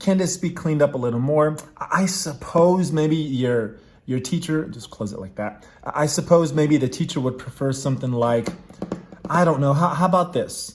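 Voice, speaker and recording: A man with a fairly high pitch speaks at a moderate pace, using ordinary pitch variation. Noticeable background noise sits behind him. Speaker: math tutor. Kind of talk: tutorial. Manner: casual, thinking aloud with fillers.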